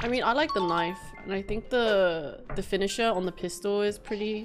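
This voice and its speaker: A woman at medium pitch and moderate pace, with ordinary pitch variation and clear music in the background. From United Kingdom. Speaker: streamer, gamer. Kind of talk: casual gaming stream talk. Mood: relaxed, casual. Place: home room.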